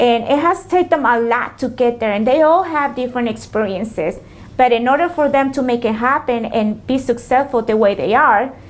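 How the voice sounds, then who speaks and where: With a Spanish accent, a woman talks at a high pitch and a fairly quick pace, her pitch varying in an ordinary way. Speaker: small business owner. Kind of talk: interview. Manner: hesitant, many fillers.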